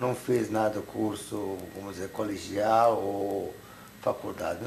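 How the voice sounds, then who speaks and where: Very slow, monotone delivery with flat intonation, audible room echo and noticeable background noise. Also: man. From Hungary. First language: Hungarian (speaking Portuguese). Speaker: Holocaust survivor. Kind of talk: testimony interview.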